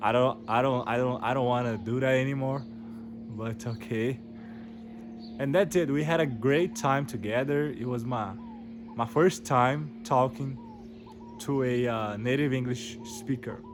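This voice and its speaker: A man with a Portuguese accent at medium pitch, with ordinary pitch variation, a fairly slow pace, long, frequent pauses and audible room echo. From Brazil. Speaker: English learner vlogger. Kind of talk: casual storytelling monologue. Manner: halting, many repetitions and fillers.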